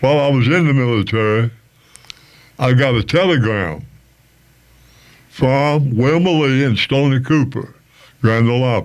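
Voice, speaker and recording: At a moderate pace, this man's pitch varies in an ordinary way. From US South, North Carolina. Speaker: musician and veteran. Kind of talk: interview.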